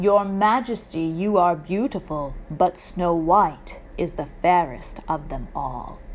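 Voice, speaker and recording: Putting on a character voice, a woman talks fairly slowly at a fairly low pitch while clear background noise runs underneath. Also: ordinary pitch variation. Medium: read story. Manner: formal, solemn.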